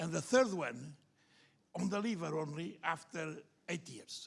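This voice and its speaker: The speaker moves at a moderate pace, their intonation lively throughout. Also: man. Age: older. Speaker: liver surgeon. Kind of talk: conference panel discussion.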